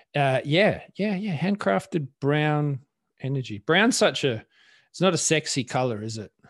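Over a quiet background, a man with an Australian accent speaks at a fairly slow pace with very wide pitch swings, in a dry, close sound with no echo. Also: fairly high pitch for a man. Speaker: podcast co-host. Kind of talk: casual chat.

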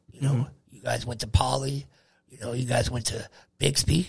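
This man speaks with an American accent. Vocal fry runs through his voice. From Oregon, then Long Beach, California. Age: 50s. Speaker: podcast host's father, union laborer. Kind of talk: casual chat. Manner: halting, many fillers.

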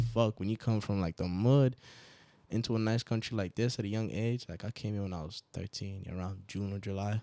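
A man with an American accent and a fairly low voice speaks at a fairly quick pace in a very clean recording with a silent background. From Nigeria, Port Harcourt. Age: 20s. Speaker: rapper. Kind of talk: casual chat. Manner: animated.

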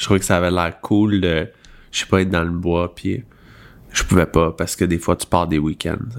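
A man with a Quebec accent speaks in a very deep, low pitch with monotone, flat intonation. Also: moderate pace, very clean recording, silent background. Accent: Québécois French. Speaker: podcast co-host. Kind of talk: casual chat.

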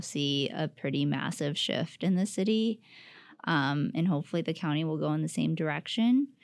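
With an unremarkable speaking voice, a woman talks at a moderate pace in a fairly low pitch, using lively intonation and very even loudness on a very clean recording with a silent background. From Southern Utah. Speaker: nonprofit housing business development manager. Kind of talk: casual interview.

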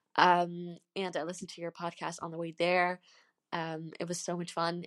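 A woman talks at a moderate pace in a dry, close sound with no echo, over a quiet background. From Netherlands. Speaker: podcast listener leaving a voice message. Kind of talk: recorded voice message.

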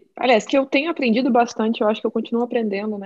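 A woman talks with a normal speaking voice at a fairly high pitch with ordinary pitch variation. The background is quiet. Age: 20s. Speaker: designer and illustrator. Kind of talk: casual chat.

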